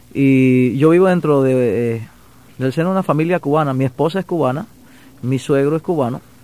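This man has a dark, mellow tone and a fairly high pitch, speaking at a moderate pace with ordinary pitch variation. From Panama, Chiriquí province. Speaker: songwriter. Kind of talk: interview. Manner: halting.

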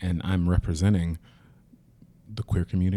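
Over a very clean recording with a silent background, a man with an American accent speaks fairly quickly in a very deep, low pitch with a dark, mellow tone and fairly even intonation. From US South. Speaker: Broadway actor. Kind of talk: casual interview chat.

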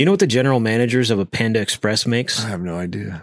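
A man with a normal speaking voice talks at a fairly quick pace in a medium pitch, on a very clean recording with a silent background. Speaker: podcast host.

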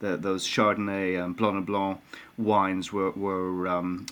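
With an Irish accent, a man talks at a moderate pace in a monotone, flat intonation. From Ireland. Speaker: winemaker. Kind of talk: interview. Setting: remote from honeymoon abroad. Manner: hesitant, repeats words.

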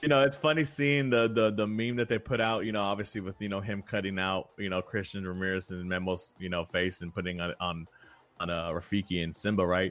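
An American accent at a fairly quick pace, with ordinary pitch variation. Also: man, fairly low pitch for a man. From Houston, Texas. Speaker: soccer podcast co-host. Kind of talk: casual chat. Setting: remote call. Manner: halting, many fillers and repetitions.

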